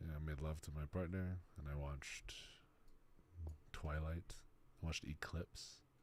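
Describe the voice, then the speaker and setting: Quiet and calm in a relaxed tone, a man with an American accent speaks at a very deep, low pitch and moderate pace in a flat monotone with long, frequent pauses. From South Texas. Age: 20s. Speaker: streamer. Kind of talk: casual chat. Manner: calm, relaxed.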